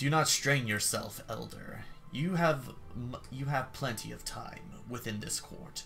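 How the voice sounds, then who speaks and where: Someone uses a put-on character voice at a fairly slow pace, with clear background noise behind it. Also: man, medium pitch for a man. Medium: game stream. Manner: formal, courtly.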